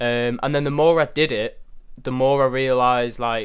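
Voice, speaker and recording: At a moderate pace, a man with a Mancunian accent speaks at a medium pitch. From northern England, Manchester. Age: young. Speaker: photographer and content creator. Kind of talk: interview.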